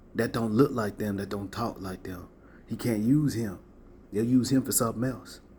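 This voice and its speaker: The man's voice is dark and mellow, somewhat breathy, at a medium pitch. He talks at a moderate pace. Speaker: spiritual content creator. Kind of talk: motivational talk to camera. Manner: animated.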